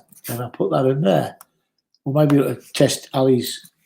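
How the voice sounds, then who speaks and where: At a fairly quick pace, a somewhat breathy voice with a dark, mellow tone speaks in a Geordie accent. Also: man. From northern England, Newcastle. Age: 60s. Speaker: former bar owner, live streamer. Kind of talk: casual chat. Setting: live stream.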